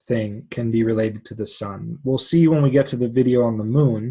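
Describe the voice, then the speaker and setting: A man talks at a medium pitch with ordinary pitch variation. His voice is somewhat breathy against a quiet background. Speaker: astrologer. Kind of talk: lecture. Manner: fast.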